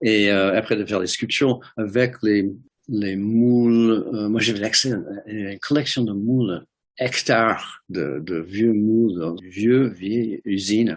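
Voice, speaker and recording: In an American accent, a man with a fairly low pitch speaks at a very slow pace with ordinary pitch variation. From US Midwest, Detroit. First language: English (speaking French). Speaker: ceramic artist. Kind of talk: interview. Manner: halting, many hesitations and repeated words.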